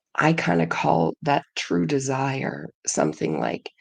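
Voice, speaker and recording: With vocal fry and a very deep, low pitch, a woman speaks with very wide pitch swings. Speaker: podcast co-host. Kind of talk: casual chat. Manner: halting.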